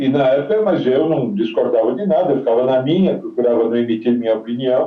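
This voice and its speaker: Over noticeable background noise, a man talks at a fairly quick pace. His pitch is medium, with ordinary variation. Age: 70s. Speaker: retired footballer. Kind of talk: interview.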